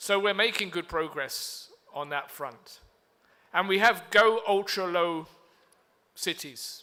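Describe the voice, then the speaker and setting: Bright and sharp in tone, a man speaks at a very slow pace with fairly even intonation. The recording is very clean, with a silent background. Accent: British. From UK. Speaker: diplomat. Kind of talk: conference speech. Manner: formal.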